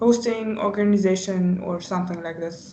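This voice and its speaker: With audible room echo around her, a woman talks at a fairly slow pace and a medium pitch, her intonation monotone and flat. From Germany. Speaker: volunteer. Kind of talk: casual interview. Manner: hesitant, many fillers.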